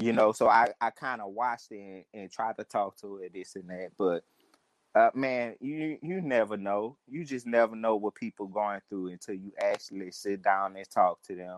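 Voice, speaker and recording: In a New Orleans accent, a man talks at a moderate pace with very wide pitch swings, recorded dry and close with no echo. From New Orleans (St. Thomas). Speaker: caller. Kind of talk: call-in chat.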